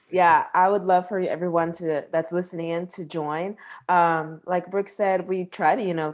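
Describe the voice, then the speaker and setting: With an American accent, a woman speaks in a fairly low, monotone, flat voice at a moderate pace with hardly any pauses, on a very clean recording with a silent background. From Texas, Houston. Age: 20s. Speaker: nurse and podcast host. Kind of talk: interview.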